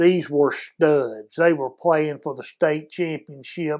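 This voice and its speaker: Recorded very cleanly against a silent background, a man with a Texan accent talks at a fairly high pitch. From Texas, Houston area. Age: 70s. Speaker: former high school football player. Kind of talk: interview storytelling.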